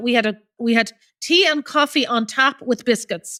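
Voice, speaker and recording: A woman speaks with an Irish accent at a high pitch. The sound is dry and close with no echo, in a very clean recording with a silent background. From Ireland. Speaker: charity founder. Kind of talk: interview answer.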